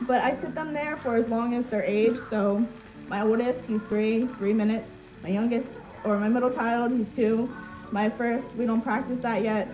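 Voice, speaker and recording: Music plays in the background as a woman speaks at a moderate pace with a fairly high pitch. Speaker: social media creator. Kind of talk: live stream chat. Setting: live video stream. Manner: loud; animated.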